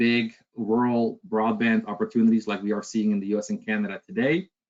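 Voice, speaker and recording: A man at medium pitch, fairly even intonation, moderate pace. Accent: Dutch. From Netherlands. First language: Dutch. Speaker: sales director. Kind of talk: product presentation webinar.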